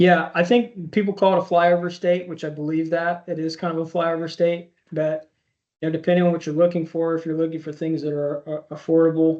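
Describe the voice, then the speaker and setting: A man in an American accent speaks at a fairly quick pace in a high pitch with monotone, flat intonation against a quiet background. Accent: slight rural twang. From Indiana, US Midwest (Speedway). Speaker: army veteran. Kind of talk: interview.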